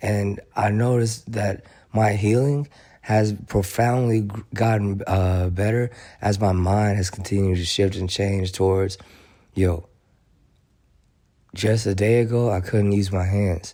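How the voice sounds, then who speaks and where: With a dark, mellow tone and fairly low pitch, a man speaks with fairly even intonation and long, frequent pauses on a very clean recording with a silent background. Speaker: motivational video host. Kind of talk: motivational talk. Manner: halting, repeats words.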